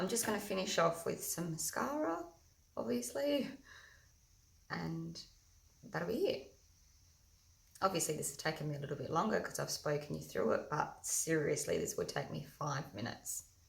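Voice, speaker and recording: A woman at a moderate pace, with long, frequent pauses and audible room echo. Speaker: makeup tutorial host. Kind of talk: tutorial. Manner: loud.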